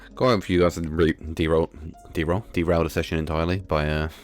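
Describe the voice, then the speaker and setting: Music plays in the background as a man talks. His voice is very deep and low, with fairly even intonation. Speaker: tabletop role-playing game player and streamer. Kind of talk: casual chat. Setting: live stream.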